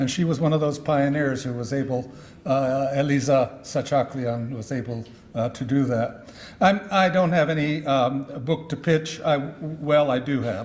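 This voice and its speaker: A man speaks at a fairly slow pace, with ordinary pitch variation. Room echo is audible. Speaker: history professor and author. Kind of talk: conference speech. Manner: halting, many fillers.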